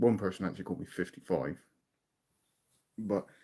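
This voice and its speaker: A man with a British accent talks at a very fast pace, his pitch varying in an ordinary way. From southern England. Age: 40s. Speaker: music reaction youtuber. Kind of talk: casual chat. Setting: live stream.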